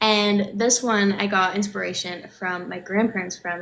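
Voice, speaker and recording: A woman at a medium pitch talks fairly quickly with fairly even intonation against noticeable background noise. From Newfoundland, St. John's. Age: 20s. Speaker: singer-songwriter. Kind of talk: interview.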